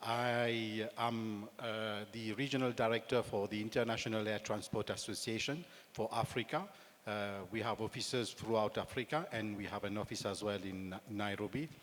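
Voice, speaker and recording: Fairly even intonation at a moderate pace, in a Mauritian accent. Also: man, fairly low pitch for a man. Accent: Mauritian, slight French touch. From Mauritius. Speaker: aviation industry director. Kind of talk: panel discussion.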